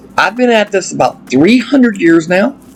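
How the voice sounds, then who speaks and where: Backed by music, a man with an Appalachian accent speaks at a moderate pace in an enthusiastic tone. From Appalachia, US. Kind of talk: casual gameplay commentary.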